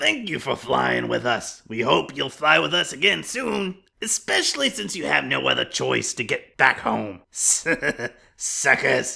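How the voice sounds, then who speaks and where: The voice is raspy. It moves at a moderate pace. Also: man. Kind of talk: PA announcement. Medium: machinima. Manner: condescending, falsely polite.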